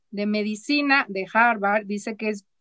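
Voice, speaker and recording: A woman talks in a normal speaking voice at a fairly slow pace with lively intonation. The sound is dry and close, with no echo. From Mexico, Chihuahua. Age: 40s. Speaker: therapist and former teacher. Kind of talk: casual chat.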